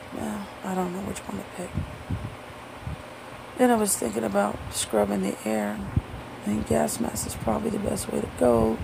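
Amid noticeable background noise, a woman talks at a moderate pace with long, frequent pauses. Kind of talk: casual talk to camera. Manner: sarcastic.

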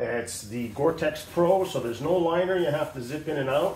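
A man at a moderate pace with ordinary pitch variation, amid light background noise and audible room echo. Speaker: motorcycle rider reviewing his gear. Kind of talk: casual gear review.

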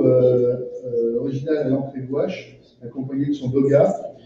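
Amid strong room echo and light background noise, a man talks with very wide pitch swings. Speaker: auction lot presenter. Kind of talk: descriptive presentation of auction lots. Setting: auction room with live and online bidders. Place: hall.

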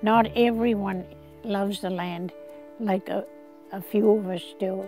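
Over faint music in the background, a woman speaks at a very slow pace with fairly even intonation, the sound dry with no echo. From New Brunswick, Canada. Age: 80s+. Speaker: land donor interviewee. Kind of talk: interview answer. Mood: earnest, heartfelt. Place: garden. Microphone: lapel.

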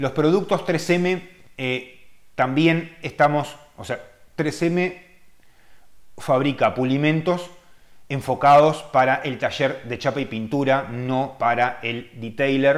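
A man speaks at a very slow pace with long, frequent pauses and ordinary pitch variation, over a quiet background. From Uruguay. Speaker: car detailer and channel host; car detailing channel host. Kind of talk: live-stream chat answering viewer questions. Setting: live stream. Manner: casual, hesitant with many fillers. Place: home room. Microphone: webcam.

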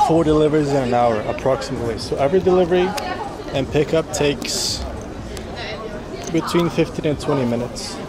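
A man talks at a moderate pace with ordinary pitch variation. Crowd noise sits in the background, and the sound is dry with no echo. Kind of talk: casual vlog chat. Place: street. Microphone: phone near.

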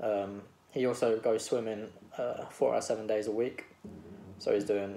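A man talks at a moderate pace. Light background noise is present. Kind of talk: case presentation for coursework. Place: home room. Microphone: webcam.

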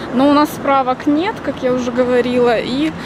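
At a moderate pace and a high pitch, a woman talks with fairly even intonation, her voice dry with no echo over noticeable background noise. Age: 30s. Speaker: vlogger. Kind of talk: casual vlog. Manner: chatty.

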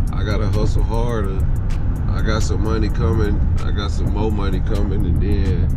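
A man is speaking. Music plays in the background. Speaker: vlogger. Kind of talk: casual vlog chat. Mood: frustrated but upbeat. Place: car. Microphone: phone near.

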